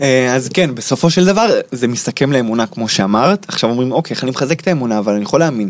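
This man talks at a very fast pace with lively intonation. His pitch sits fairly high. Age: 30s. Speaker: life coach teaching manifestation. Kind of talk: interview.

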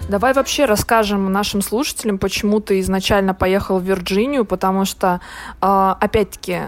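Background noise is noticeable while this woman keeps a moderate pace. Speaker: podcast host. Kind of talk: casual chat.

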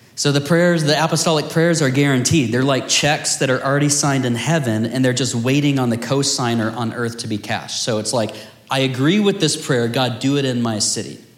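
A medium-pitched male voice at a fairly quick pace, with hardly any pauses, ordinary pitch variation and noticeable background noise. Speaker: teacher leading a house of prayer. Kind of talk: teaching/Bible study with prayer. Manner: earnest, fervent prayer; casual, self-deprecating humor.

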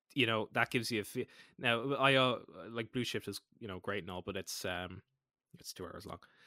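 This man speaks in an Irish accent at a medium pitch. His tone is bright and sharp, and his loudness swings widely. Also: ordinary pitch variation. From Ireland. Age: 20s. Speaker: podcast co-host. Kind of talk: casual chat.

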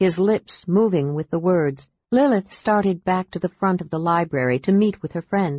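Someone reads aloud in a natural voice, pitch varying in an ordinary way, over a quiet background.

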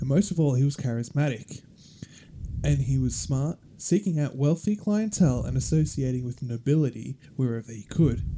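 A man with an Australian accent talks at a moderate pace, his pitch fairly high and its movement ordinary. His tone is dark and mellow, with a somewhat breathy quality. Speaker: podcast host. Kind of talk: casual chat. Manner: casual, joking.

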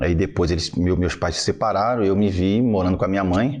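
This man has a very deep, low pitch and a Rio de Janeiro accent, speaking at a moderate pace with ordinary pitch variation. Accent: carioca. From Rio de Janeiro, Brazil. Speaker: army lieutenant and city council candidate. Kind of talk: casual podcast conversation.

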